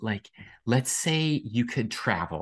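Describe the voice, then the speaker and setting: A man with an unremarkable speaking voice, ordinary pitch variation and a quiet background. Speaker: podcast co-host. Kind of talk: casual chat. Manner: excitable.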